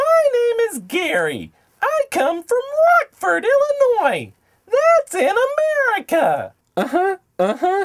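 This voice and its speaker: In a cartoonish character voice at an extremely high pitch, the speaker goes at a fairly slow pace with long, frequent pauses. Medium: puppet. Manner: earnest, enthusiastic.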